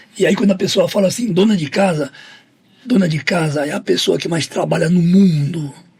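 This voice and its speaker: Over noticeable background noise, a man with a high voice talks at a moderate pace, stopping often for long pauses. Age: 60s. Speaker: football agent and negotiation speaker. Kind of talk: podcast interview.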